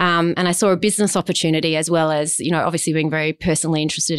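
Someone with an Australian accent talks at a very fast pace in a monotone, flat intonation. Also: woman. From South Australia, Adelaide. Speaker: diversity and inclusion consultant. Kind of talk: interview.

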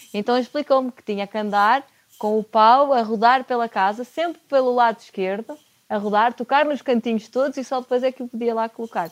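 An ordinary speaking voice from a woman, fairly high-pitched and fairly quick, with fairly even intonation and big swings in loudness, on a very clean recording with a silent background and a dry, close sound with no echo. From Portugal, Porto. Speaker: chef and nutrition consultant. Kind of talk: casual interview.

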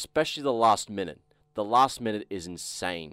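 Lively intonation marks this man's plain, everyday voice, which has a fairly low pitch and a moderate pace. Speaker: podcast guest, metal fan. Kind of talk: casual chat.

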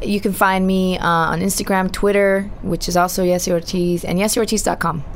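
Through noticeable background noise, a woman of medium pitch speaks at a moderate pace with very even loudness and a monotone, flat intonation. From Southern California, Orange County. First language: Spanish. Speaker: radio host. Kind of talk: interview.

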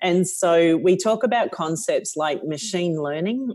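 In a very clean recording with a silent background, a woman with an Australian accent speaks in a fairly low, dark, mellow voice with lively intonation. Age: 50s. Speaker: company CEO. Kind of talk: interview.

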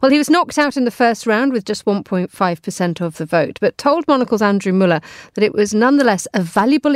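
The voice moves at a fairly quick pace with very wide pitch swings. The sound is dry and close, with no echo. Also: woman. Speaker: radio host. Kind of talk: live radio news programme presenting and interviewing. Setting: studio. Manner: polished, formal presenter delivery.

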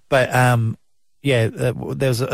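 A man speaks with an Australian accent and fairly even intonation, recorded with a dry, close sound, no echo, and a very clean, silent background. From South Australia. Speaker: breakfast radio host. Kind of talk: casual chat.

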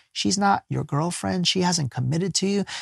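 A man with an American accent talks at a fairly quick pace in a high pitch, with an animated tone and lively intonation, in a dry, close sound with no echo. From US, poor urban neighborhood. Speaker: life coach and spiritual teacher. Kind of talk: casual interview conversation. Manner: animated storytelling.

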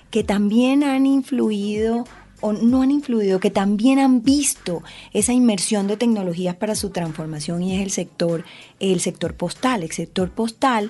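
A woman speaks at medium pitch in a somewhat breathy voice. Her tone is dark and mellow. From Colombian Caribbean coast. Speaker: lawyer and podcast host. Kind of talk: casual interview.

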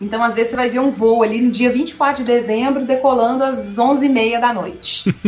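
Speaking at a moderate pace with hardly any pauses, a woman has a high pitch and fairly even intonation. Her loudness stays very even, with noticeable background noise behind her. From Minas Gerais, Brazil (Contagem). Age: 30s. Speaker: agricultural pilot. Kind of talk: interview.

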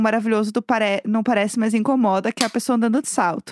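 A woman speaks at a fairly high pitch with fairly even intonation. The sound is dry and close, with no echo. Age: 30s. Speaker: podcast co-host. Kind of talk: casual chat.

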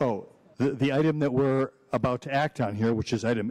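Recorded very cleanly against a silent background, a man speaks in a plain, everyday voice with an American accent. His medium pitch shows ordinary variation, and the sound is dry and close with no echo. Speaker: mayor chairing city commission. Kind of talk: formal public meeting. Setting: city commission chambers.

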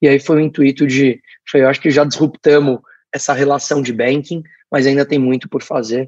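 The sound is dry and close with no echo. A man talks at a moderate pace and fairly high pitch, in a monotone, flat intonation. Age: 20s. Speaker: startup founder. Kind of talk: interview.

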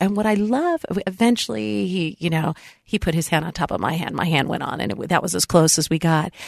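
A woman's fairly low pitch, animated tone and lively intonation at a fairly quick pace, with a dry, close sound, no echo and noticeable background noise. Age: 50s. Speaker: radio talk show host. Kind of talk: interview.

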